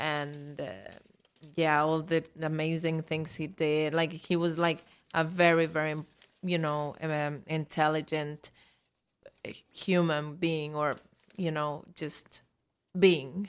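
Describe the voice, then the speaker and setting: A woman speaks with a very deep, low pitch at a very slow pace. Her intonation is flat and monotone, with long, frequent pauses. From Mexico, Mexico City. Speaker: singer-songwriter. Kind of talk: casual chat. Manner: halting.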